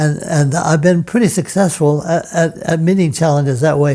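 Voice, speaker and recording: This man's voice sits fairly high in pitch, with a dark, mellow tone, fairly even intonation and a moderate pace. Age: 90s. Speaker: retired piano professor and pianist. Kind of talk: interview. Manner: halting, frequent repetitions.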